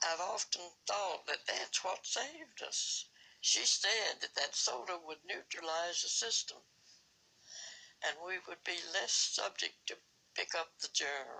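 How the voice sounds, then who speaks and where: With noticeable background noise, a woman speaks in a Southern US accent at a fairly slow pace. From Alabama. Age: 80s+. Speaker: pandemic survivor. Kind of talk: interview answer.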